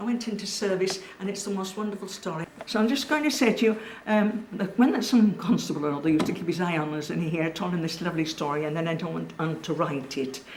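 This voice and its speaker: In a Cumbrian accent, the speaker rattles along very fast with lively intonation, accompanied by audible room echo and noticeable background noise. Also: woman, medium pitch for a woman. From Cumbria, northern England. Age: 80s+. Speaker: local elder recalling childhood. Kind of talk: oral history interview.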